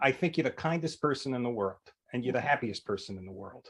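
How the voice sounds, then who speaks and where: A man's ordinary speaking voice at a fairly quick pace, with big swings in loudness. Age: 60s. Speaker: interviewer. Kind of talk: casual interview talk.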